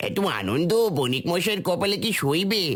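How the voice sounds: A man's cartoonish character voice with very wide pitch swings, at a moderate pace.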